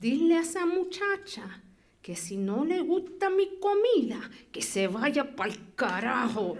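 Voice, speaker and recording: A strained, put-on character voice with very wide pitch swings, at a moderate pace. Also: woman, high pitch for a woman. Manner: hyper-controlled, tightly restrained anger.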